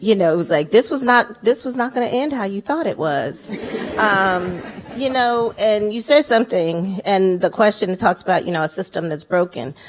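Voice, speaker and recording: Through noticeable background noise, a woman of medium pitch speaks at a moderate pace with lively intonation. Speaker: activist. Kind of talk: panel discussion. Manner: loud; animated.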